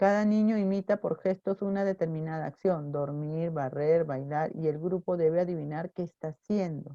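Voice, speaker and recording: A woman speaks at a moderate pace in a fairly low pitch with ordinary pitch variation, her dark, mellow tone captured in a dry, close sound with no echo. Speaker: teacher. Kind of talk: online class lecture. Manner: soft-spoken.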